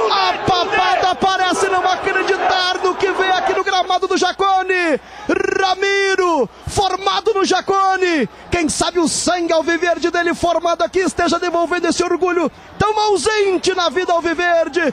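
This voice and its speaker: Speaking at a fairly slow pace, a man with an extremely high pitch keeps his loudness very even, the sound dry with no echo over light background noise. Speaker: radio sports commentator. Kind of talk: live football commentary. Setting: stadium broadcast, live radio. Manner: dramatic, passionate and partisan, building the feeling of a historic comeback. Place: booth.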